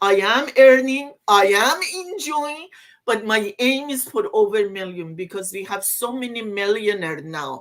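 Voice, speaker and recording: A woman's fairly high voice at a moderate pace, with very wide pitch swings and big swings in loudness. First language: not English. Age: old. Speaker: online business owner. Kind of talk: casual chat.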